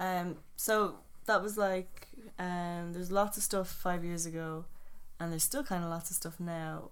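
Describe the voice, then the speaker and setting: Speaking fairly slowly with an Irish accent, a woman uses a fairly low pitch and fairly even intonation. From Ireland. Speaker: podcast host. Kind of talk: casual chat.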